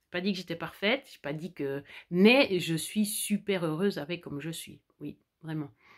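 A woman with a fairly low pitch talks at a moderate pace with ordinary pitch variation. Her loudness swings widely against a quiet background. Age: 40s. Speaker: vlogger. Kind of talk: personal vlog monologue. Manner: halting. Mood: warm, content, reflective. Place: home room. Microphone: phone near.

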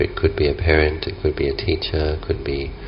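The intonation stays fairly even. Light background noise can be heard. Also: man. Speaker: meditation teacher. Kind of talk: guided meditation. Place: garden.

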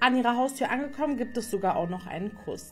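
Fairly quick speech from a woman, with faint music in the background. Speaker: beauty content creator. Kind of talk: storytime narration, casual vlog chat. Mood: lively gossip storytelling. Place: home room. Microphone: phone near.

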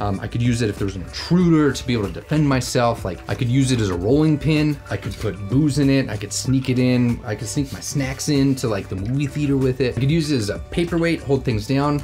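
Words tumble out very fast from a man while faint music sounds behind him. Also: ordinary pitch variation. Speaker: educational video host. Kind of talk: lecture. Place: studio.

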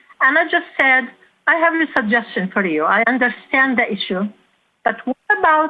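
A woman's high pitch with very wide pitch swings, very even loudness and a moderate pace. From war-torn country abroad. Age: 60s. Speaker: public commenter. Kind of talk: public comment.

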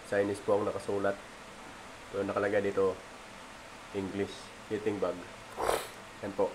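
A man with a fairly low voice talks at a fairly quick clip in a flat monotone, broken by long, frequent pauses, over noticeable background noise. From Philippines. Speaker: vlogger. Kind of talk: cooking tutorial; casual tutorial vlog chat. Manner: halting. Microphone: phone near.

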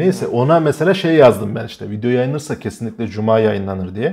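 A man's dark, mellow tone with lively intonation and a fairly quick pace. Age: 20s. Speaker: YouTuber and comedian; YouTuber, comedian. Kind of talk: casual chat. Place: home room. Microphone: lapel.

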